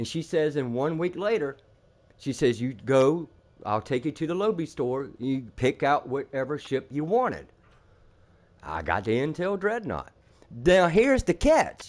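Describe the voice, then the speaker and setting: Against a quiet background, a man with a fairly high pitch talks at a fairly slow pace, his intonation lively and his tone animated, with long, frequent pauses. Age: 60s. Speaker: gamer streamer. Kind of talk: casual chat.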